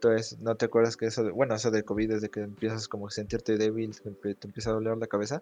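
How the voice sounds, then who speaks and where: Speaking at a very fast pace, a man with a dark, mellow tone holds a monotone, flat intonation in a dry, close recording with no echo and a quiet background. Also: medium pitch for a man. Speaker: podcast guest. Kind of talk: casual chat.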